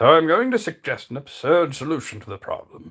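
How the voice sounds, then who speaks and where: Put-on character voice from a man, fairly high in pitch, at a fairly quick pace. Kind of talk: theatrical. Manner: wise, authoritative.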